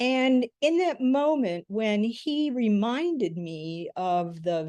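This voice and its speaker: The background is quiet. A woman talks with lively intonation. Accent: American. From US Midwest (rural Michigan). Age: 60s. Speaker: author and podcast guest. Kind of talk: interview storytelling.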